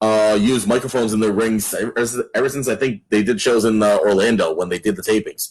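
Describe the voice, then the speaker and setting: A man talks in an unremarkable speaking voice at a medium pitch and a fairly quick pace. His intonation is fairly even and his loudness very even. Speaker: wrestling ring announcer. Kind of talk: interview answer.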